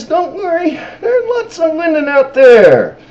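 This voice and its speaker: A woman puts on a character voice at an extremely high pitch. Her pitch swings very widely at a moderate pace. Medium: solo performance.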